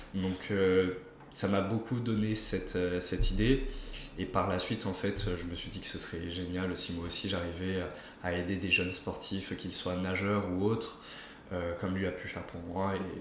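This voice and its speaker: A man's very deep, low voice, monotone and flat, at a moderate pace, with audible room echo and noticeable background noise. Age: 20s. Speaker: osteopath. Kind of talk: casual interview. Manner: hesitant, many fillers.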